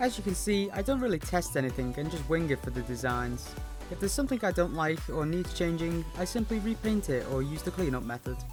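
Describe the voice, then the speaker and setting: Music plays in the background. The speaker mumbles at a very fast pace. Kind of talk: tutorial voice-over. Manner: occasionally mumbled.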